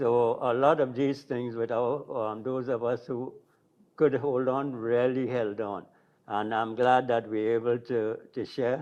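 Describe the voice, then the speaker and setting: The speech comes at a fairly slow pace in a monotone, flat intonation, over a quiet background. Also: man, medium pitch for a man. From Trinidad. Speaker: drummer. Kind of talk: panel discussion.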